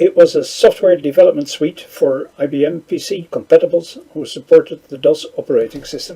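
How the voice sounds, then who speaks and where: A man speaks at a fairly quick clip with a Dutch accent. His loudness swings widely. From Netherlands. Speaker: conference speaker on programming. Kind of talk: conference talk. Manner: halting.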